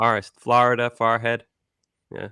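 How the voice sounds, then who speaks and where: With a Massachusetts accent and a bright, sharp tone, a man speaks on a very clean recording with a silent background and a dry, close sound with no echo. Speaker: sports podcast co-host. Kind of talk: casual chat.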